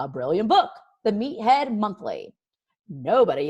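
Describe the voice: Plain reading aloud is heard with a quiet background.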